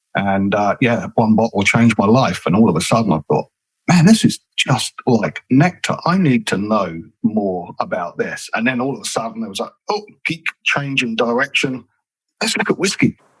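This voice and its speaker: In a southern English accent, a man of medium pitch speaks at a moderate pace with very wide pitch swings, the sound dry and close with no echo. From southern England. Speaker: whisky brand ambassador. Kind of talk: podcast interview.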